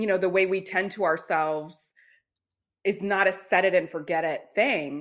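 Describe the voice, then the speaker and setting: Speaking at a moderate pace, an unremarkable speaking voice keeps its intonation fairly even. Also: woman, medium pitch for a woman, very clean recording, silent background. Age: 30s. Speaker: self-care coach. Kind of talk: casual chat.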